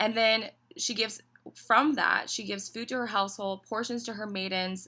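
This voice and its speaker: A woman with a slight Southern US accent, bright, sharp tone, fairly even intonation and moderate pace. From Tennessee, US South. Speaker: business owner. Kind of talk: casual interview chat.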